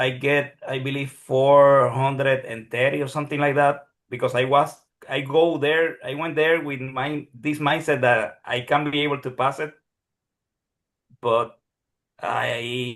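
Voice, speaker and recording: A fairly high-pitched man in a flat monotone at a fairly slow pace. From Puerto Rico. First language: Spanish. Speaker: psychologist who passed licensing exam, neuroscience teacher. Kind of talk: Q&A session testimony. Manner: halting, many repetitions.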